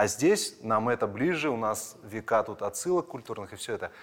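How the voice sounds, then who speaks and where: A man with an ordinary speaking voice, medium pitch, lively intonation and a moderate pace. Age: 30s. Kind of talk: casual interview.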